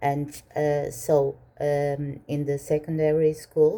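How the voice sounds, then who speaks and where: A woman with a Portuguese accent speaks at a very slow pace with a very deep, low pitch, a dark, mellow tone and monotone, flat intonation. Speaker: minimalist vlogger. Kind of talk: Q&A vlog. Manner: hesitant, many fillers.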